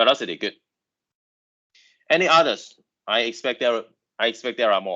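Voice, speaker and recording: The man talks at a fairly quick pace but leaves long, frequent pauses. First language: Chinese. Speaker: university lecturer. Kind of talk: lecture. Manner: halting.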